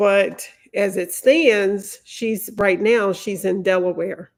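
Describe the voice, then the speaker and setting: A woman with a Louisiana accent speaks at a medium pitch on a very clean recording with a silent background. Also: ordinary pitch variation, very slow pace. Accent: Southern US (Louisiana). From Louisiana, US South. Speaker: lawyer, legal commentator. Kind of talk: live stream commentary. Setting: live stream. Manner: slow.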